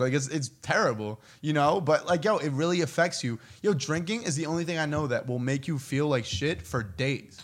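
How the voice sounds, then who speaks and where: Here is a man with an unremarkable speaking voice. He talks at a fairly quick pace and fairly high pitch. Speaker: podcast host. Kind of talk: casual chat.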